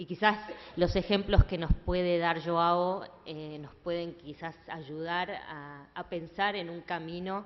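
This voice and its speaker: A woman speaks very slowly in a flat monotone. Her loudness swings a lot. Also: fairly low pitch for a woman. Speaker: event moderator. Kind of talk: panel moderation. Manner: hesitant, many fillers.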